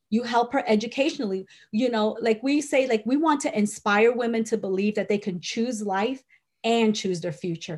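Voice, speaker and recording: She speaks in a fairly high, somewhat breathy voice. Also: ordinary pitch variation, moderate pace, very clean recording, silent background. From Puerto Rico. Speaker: nonprofit director and author. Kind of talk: interview.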